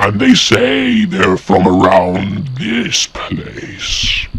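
At a very slow pace, a man talks in a put-on character voice. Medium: machinima. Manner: commanding, imperious.

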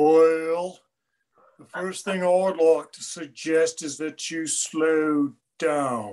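The put-on character voice drags along at a very slow pace. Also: man, fairly high pitch for a man.

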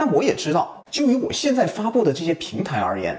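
A man talks at a fairly quick pace. His pitch swings very widely. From Guangzhou, China. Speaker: video creator. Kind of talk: casual talk to camera. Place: kitchen.

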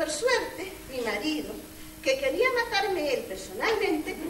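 Noticeable background noise and audible room echo surround a woman as she talks. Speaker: stage actor. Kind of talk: theatrical monologue. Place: stage. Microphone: camera far.

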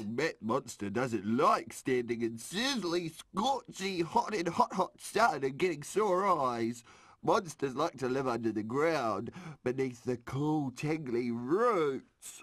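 A man does a cartoonish character voice at a fairly slow pace. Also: fairly high pitch for a man. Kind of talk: children's puppet show. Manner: childish, broken grammar, playful.

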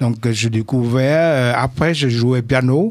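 In a Vietnamese accent, a man speaks at a very slow pace with ordinary pitch variation, his voice dry with no echo against a quiet background. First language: Vietnamese (speaking French). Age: 70s. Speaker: composer; radio guest. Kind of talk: radio interview. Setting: studio. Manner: halting. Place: studio. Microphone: studio mic.

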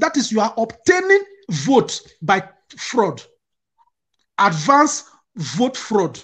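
Long, frequent pauses break up a man's very slow speech against a quiet background. His pitch is high and swings very widely. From Nigeria, Delta State; Nigeria. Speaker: security analyst, activist; security analyst. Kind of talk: political discussion. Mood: passionate, critical. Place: home room. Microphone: headset.

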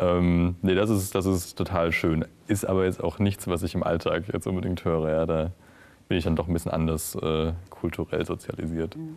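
A man's very deep, low voice at a moderate pace, in a monotone, flat intonation. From Franconia, Bavaria (Schweinfurt); Bavaria, Germany. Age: 20s. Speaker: startup founder; guest. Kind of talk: interview. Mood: relaxed, friendly. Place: studio.

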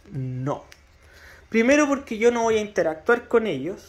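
A man speaks with a Chilean accent. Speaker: radio hobbyist youtuber. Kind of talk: tutorial. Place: home room. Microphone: phone near.

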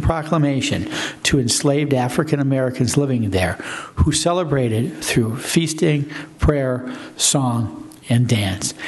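Fairly slow and with ordinary pitch variation, a man's speech unfolds. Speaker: council official. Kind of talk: formal proclamation reading. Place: meeting room. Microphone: podium.

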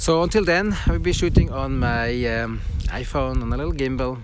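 Noticeable background noise sits behind a man speaking at a moderate pace, the sound dry with no echo. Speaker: tech vlogger. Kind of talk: casual vlog chat. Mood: upbeat despite device problem. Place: open country. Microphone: phone near.

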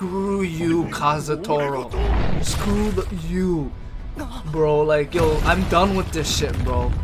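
A man speaks at a very slow pace. Music plays clearly in the background. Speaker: anime reaction youtuber. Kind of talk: casual reaction commentary. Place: home room. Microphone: studio mic.

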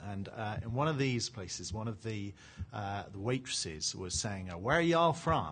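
This man's voice is somewhat breathy. He moves along at a fairly quick pace. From England. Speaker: panelist at a tech conference; conference panelist. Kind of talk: panel discussion. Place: hall.

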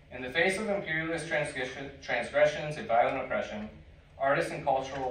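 Speaking at a fairly quick pace with ordinary pitch variation, a man is heard in a room with audible echo. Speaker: community organizer and panel moderator. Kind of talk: panel discussion. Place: hall. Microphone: camera far.

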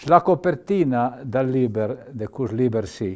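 A very slow delivery in a dark, mellow tone against a quiet background. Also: man. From Piedmont, Valle Maira; Piedmont. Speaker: retired doctor and author; TV guest. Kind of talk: interview storytelling. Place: studio.

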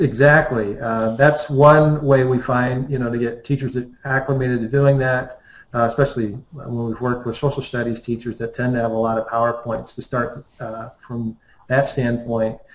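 A somewhat breathy man speaks at a medium pitch with fairly even intonation. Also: moderate pace. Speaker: high school math department chair. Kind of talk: panel discussion. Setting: video call.

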